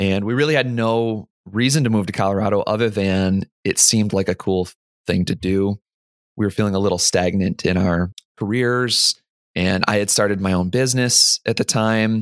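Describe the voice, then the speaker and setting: A man's plain, everyday voice, fairly low in pitch, at a moderate pace and very even loudness, with a dry, close sound, no echo, and a very clean recording over a silent background. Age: 30s. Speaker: software developer and amateur rock climber. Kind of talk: casual interview.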